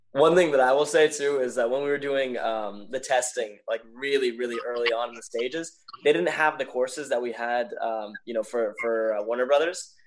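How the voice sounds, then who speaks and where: A medium-pitched man with an American accent at a fairly quick pace, hardly any pauses and ordinary pitch variation, over noticeable background noise. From Los Angeles. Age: 20s. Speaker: parkour athlete. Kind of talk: casual chat.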